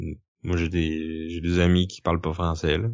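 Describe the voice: With vocal fry and monotone, flat intonation, a man speaks at low pitch. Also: moderate pace.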